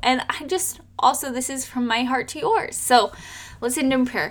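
A woman speaks at a fairly slow pace in a high voice with ordinary pitch variation, over noticeable background noise. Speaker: home birth coach and nurse. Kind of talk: fervent prayer to God, spoken aloud to close the episode; podcast monologue, off-the-cuff message. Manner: earnest, heartfelt, fervent.

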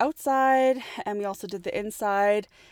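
In a normal speaking voice with a Canadian accent, a woman of medium pitch and ordinary pitch variation talks at a fairly slow pace, the sound dry and close with no echo on a very clean recording with a silent background. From Canada, Edmonton, Alberta. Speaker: industrial designer, podcast co-host. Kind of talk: casual chat.

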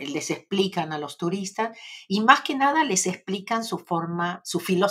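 A natural reading voice moves through lively intonation.

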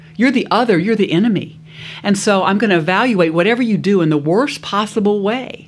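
Speaking fairly quickly with an American accent, a woman holds very even loudness at a medium pitch with ordinary pitch variation over noticeable background noise. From US South, South Louisiana. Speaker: business school professor, negotiation expert. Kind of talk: interview, expert conversation.

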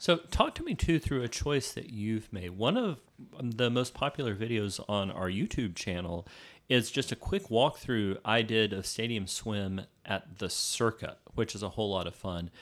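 Very cleanly recorded against a silent background, a man with an ordinary speaking voice talks at a medium pitch and moderate pace with ordinary pitch variation. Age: 40s. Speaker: podcast co-host. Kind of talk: casual chat.

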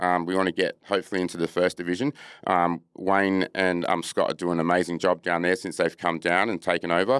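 A man with an Australian accent speaks at a fairly quick pace in a very deep, low pitch. His intonation is fairly even, and the sound is dry and close with no echo. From Australia, Adelaide then Perth. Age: 40s. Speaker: footballer and musician. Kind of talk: casual interview.

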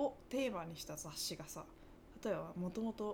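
Her voice is somewhat breathy, and the woman's tone is dark and mellow. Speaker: podcast co-host. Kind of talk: casual chat.

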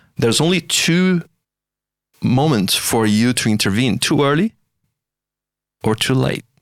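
With long, frequent pauses, a man in a non-native accent speaks at a very even loudness, his intonation lively. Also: medium pitch for a man, very clean recording, silent background. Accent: foreign-accented English. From outside Australia. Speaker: AI scientist. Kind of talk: interview conversation. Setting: studio.

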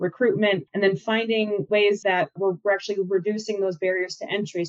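This woman has a normal speaking voice and speaks with an American accent. Her medium pitch and fairly even intonation move at a moderate pace. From Minnesota (Minneapolis and Mankato). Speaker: state agriculture official. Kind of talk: podcast interview.

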